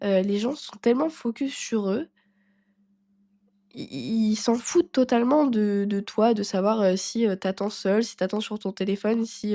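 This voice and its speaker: On a very clean recording with a silent background and a dry, close sound with no echo, a woman speaks with a dark, mellow tone, a fairly high pitch, and ordinary pitch variation. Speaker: personal development podcaster. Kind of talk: casual podcast monologue. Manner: hesitant, many fillers.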